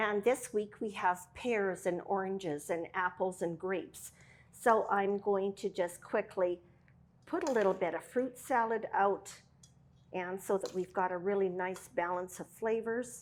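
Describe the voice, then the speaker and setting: At a fairly slow pace, an ordinary speaking voice keeps fairly even intonation. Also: woman, medium pitch for a woman. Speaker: cooking show host. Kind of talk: cooking tutorial. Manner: casual with frequent fillers.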